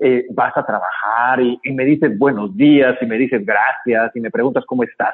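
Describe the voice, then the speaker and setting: A man at a fairly slow pace. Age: 30s. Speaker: motivational speaker and case worker. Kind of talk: radio interview.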